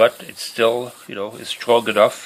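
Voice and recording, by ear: A man with a fairly low pitch and a fairly bright tone talks at a moderate pace.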